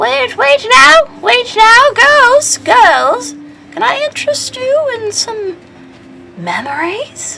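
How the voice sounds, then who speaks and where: An extremely high put-on character voice swings very widely in pitch. It moves at a very slow pace. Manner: coaxing, hawking wares.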